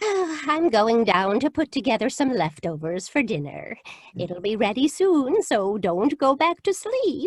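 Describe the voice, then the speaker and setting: Using a put-on character voice, a female-sounding voice speaks in a high pitch at a fairly slow pace with very wide pitch swings. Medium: stage play. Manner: sweetly genteel.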